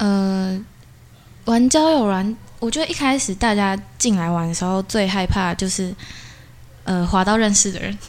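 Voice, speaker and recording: A woman with a medium-pitched voice and ordinary pitch variation talks at a moderate pace, leaving long, frequent pauses. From Taiwan, Changhua. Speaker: university student. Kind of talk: casual interview.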